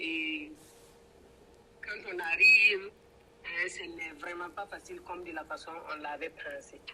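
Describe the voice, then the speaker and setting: A woman with a strong Burkinabe accent speaks at a very slow pace, leaving long, frequent pauses. Her loudness swings widely, and noticeable background noise is present. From Burkina Faso. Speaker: braider and entrepreneur. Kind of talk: interview. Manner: hesitant, many fillers.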